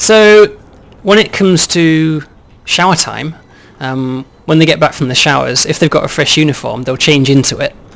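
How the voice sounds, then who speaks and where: At a moderate pace, a man talks in a plain, everyday voice with a fairly high pitch and ordinary pitch variation. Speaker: game developer. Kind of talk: game walkthrough demo.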